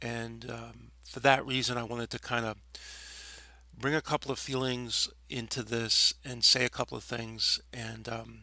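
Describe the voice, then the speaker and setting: A man with an American accent speaks at a fairly slow pace, his loudness swinging widely. The recording is very clean, with a silent background. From New York City (Staten Island). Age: 60s. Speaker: former nightclub DJ. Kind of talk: personal reminiscence monologue. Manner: hesitant, many fillers.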